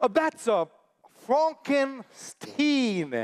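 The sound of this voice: A man in a put-on character voice, extremely high in pitch with big pitch swings, at a very slow pace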